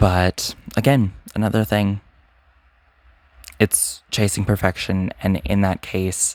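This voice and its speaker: In a dry, close recording with no echo, very clean and with a silent background, a man speaks at a very slow pace with fairly even intonation and long, frequent pauses. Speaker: poet and channel owner. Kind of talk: reading aloud; casual chat. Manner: halting.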